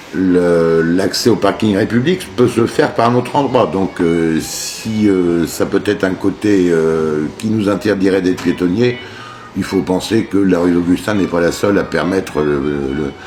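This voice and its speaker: Noticeable background noise sits behind a man with a very deep, low pitch. He talks at a fairly slow pace with very even loudness. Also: ordinary pitch variation. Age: 60s. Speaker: shopkeeper, coffee roaster. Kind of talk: interview. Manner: halting, many hesitations.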